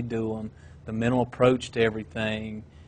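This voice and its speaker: A man's delivery is flat and monotone, moving at a moderate speed. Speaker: cross country coach. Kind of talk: interview. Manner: halting.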